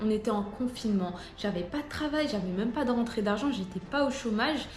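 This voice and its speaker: Music sits in the background. A woman with a fairly high pitch speaks over it at a fairly quick pace. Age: 20s. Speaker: real estate agent. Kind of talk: casual talk to camera.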